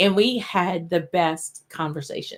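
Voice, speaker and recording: A woman with a Southern accent speaks at a fairly low pitch. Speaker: whisky channel host. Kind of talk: casual live-stream chat. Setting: live stream. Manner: animated.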